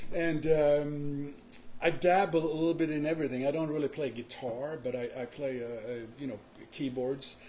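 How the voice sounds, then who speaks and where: Pitched fairly high, a man speaks with a dark, mellow tone that is somewhat breathy. His intonation is fairly even and his pace moderate. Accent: slight Swedish. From Sweden. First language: Swedish. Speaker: music producer and songwriter. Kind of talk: podcast interview. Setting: live-streamed podcast.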